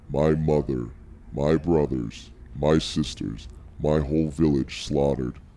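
Music plays behind a man using a put-on character voice. He speaks very deep and low at a fairly slow pace. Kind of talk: tabletop roleplay. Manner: stiff, formal, with spoken emotion cues; furious, distrustful.

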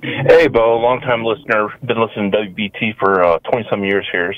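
A man with an American accent and a fairly low pitch, at a moderate pace, amid noticeable background noise. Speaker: caller. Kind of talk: phone-in call. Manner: halting.

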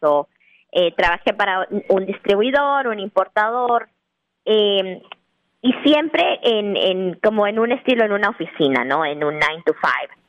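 A woman's lively intonation at a fairly slow pace. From Guatemala City. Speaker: restaurant owner. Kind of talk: interview testimony. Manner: halting, many fillers.

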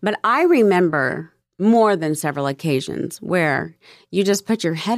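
A woman with vocal fry speaks at a fairly slow pace, her pitch swinging very widely. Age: 50s. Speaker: podcast host. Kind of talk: casual chat.

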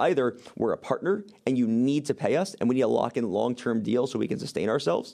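A man with vocal fry, a dark, mellow tone and medium pitch, speaking at a very fast pace. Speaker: media company CEO and co-founder. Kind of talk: casual interview chat.

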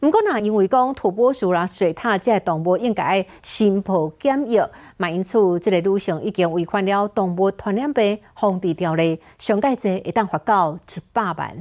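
A woman has an ordinary speaking voice at a medium pitch, with ordinary pitch variation and a moderate pace. The recording is very clean with a silent background. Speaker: news anchor. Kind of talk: news reading. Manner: formal.

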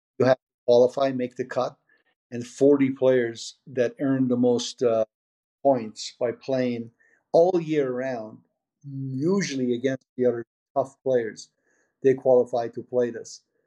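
A man with an American accent speaks in a dark, mellow tone with fairly even intonation. He leaves long, frequent pauses. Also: medium pitch for a man. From Iran (Tehran), raised partly in Portland, Oregon as a teen. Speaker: poker TV producer. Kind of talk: interview. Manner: halting, frequent fillers.

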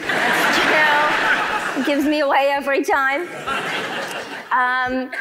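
Over noticeable background noise, a woman uses a raised, projected voice. Her pitch is high. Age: 30s. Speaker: comedian. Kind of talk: stand-up. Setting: stage with audience.

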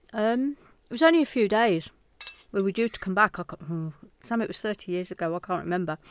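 A woman with a British accent speaks at a fairly quick pace in a medium pitch, her intonation lively. She leaves long, frequent pauses. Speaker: host's mother. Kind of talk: casual interview chat.

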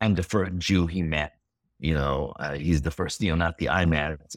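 Someone speaks at a moderate pace in an Israeli accent with fairly even intonation. The recording is very clean, with a silent background and a dry, close sound with no echo. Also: man. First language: Hebrew. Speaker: filmmaker. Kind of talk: interview. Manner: halting.

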